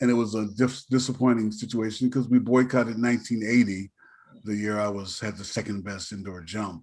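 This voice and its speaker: With an American accent, the speaker talks at a fairly quick pace and swings widely in loudness. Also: man, fairly low pitch for a man. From Kansas, US Midwest. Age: 60s. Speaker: musician and percussionist. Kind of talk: interview. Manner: animated storytelling.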